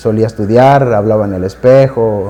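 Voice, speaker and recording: The speaker is a man. He talks with a Mexican accent. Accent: Mexican Spanish (Jalisco). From Mexico, Guadalajara. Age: 20s. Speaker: devotee sharing conversion story. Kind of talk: personal testimony. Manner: halting, many fillers and repetitions.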